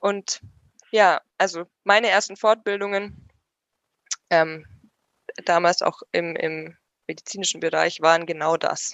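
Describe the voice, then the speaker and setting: Her pitch fairly low, a woman talks at a very slow pace with fairly even intonation and long, frequent pauses. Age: 20s. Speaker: paramedic and first aid trainer. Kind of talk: casual chat. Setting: at home on the sofa.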